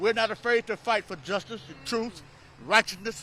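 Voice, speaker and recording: A man speaks in a raised, projected voice at an extremely high pitch, with a bright, sharp tone. The sound is dry and close, with no echo. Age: 70s. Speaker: pastor and voting rights activist. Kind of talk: fiery speech at a rally. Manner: animated, preacher-style call and response.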